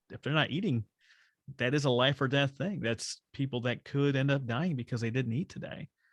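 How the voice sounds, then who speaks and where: Fairly even intonation and a fairly quick pace mark a normal speaking voice. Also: man. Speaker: podcast host. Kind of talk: podcast interview, casual conversation.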